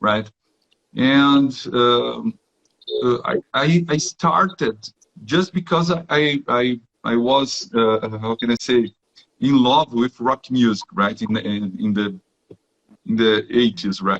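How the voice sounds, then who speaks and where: A man with a medium pitch talks very slowly, leaving long, frequent pauses. His intonation is lively, and the sound is dry and close with no echo. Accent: Brazilian. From southern Brazil, Rio Grande do Sul. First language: Portuguese. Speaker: technical professional, guest. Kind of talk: live interview in second language. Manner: halting, many fillers and repetitions.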